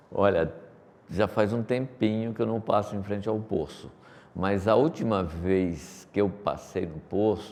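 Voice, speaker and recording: A man's fairly low voice, an ordinary speaking voice, at a fairly slow pace with ordinary pitch variation. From Brazil, Paraíba sertão (Pombal), moved to São Paulo as child. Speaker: company executive. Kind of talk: interview.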